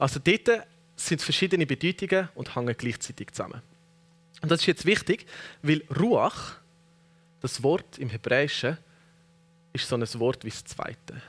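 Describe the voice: A man speaks at a moderate pace with fairly high pitch, lively intonation, a fairly bright tone and a slightly husky edge.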